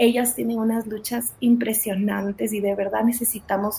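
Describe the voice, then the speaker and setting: Over noticeable background noise, a woman talks at a moderate pace in a fairly high pitch with monotone, flat intonation. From Guatemala, raised in Ecuador from age six. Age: 40s. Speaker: charity founder. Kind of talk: testimony.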